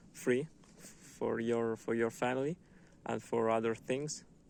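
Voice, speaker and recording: Speaking fairly slowly with a non-native accent, a man uses a medium pitch and fairly even intonation. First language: not English. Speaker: book reviewer, vlogger. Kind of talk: book review monologue. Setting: outdoors in a wood. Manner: halting, many fillers and repetitions.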